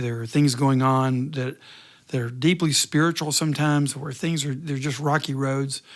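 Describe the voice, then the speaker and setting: In a very clean recording over a silent background, a man with a normal speaking voice speaks at a moderate pace, his fairly high pitch held in fairly even intonation. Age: 60s. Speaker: retired pastor. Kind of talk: interview.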